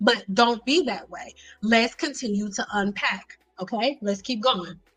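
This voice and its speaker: A woman with an American accent speaks at a fairly slow pace in a fairly high voice. Her tone is animated, her intonation lively, and her loudness swings widely. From Detroit, Michigan. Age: 30s. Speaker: hair care educator, livestream host. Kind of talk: livestream tutorial. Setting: livestream with chat.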